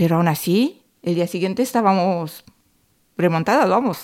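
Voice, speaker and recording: This is a woman with ordinary pitch variation. Her recording is very clean, with total background silence. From southern Romania, near Craiova. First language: Romanian (speaking Spanish). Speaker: podcast co-host, cleaning and catering worker. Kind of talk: casual chat.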